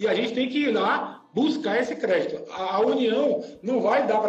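An extremely high-pitched male voice at a moderate pace, with ordinary pitch variation and audible room echo. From Brazil, Salvador (Bahia). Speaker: lawyer and engineering professor. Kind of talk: online presentation and interview. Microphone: connection cutting out.

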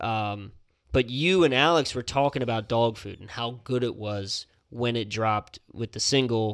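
On a very clean recording with a silent background, a man with a normal speaking voice talks at a moderate pace with fairly even intonation. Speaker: podcast host. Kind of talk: casual banter, music review podcast. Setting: studio.

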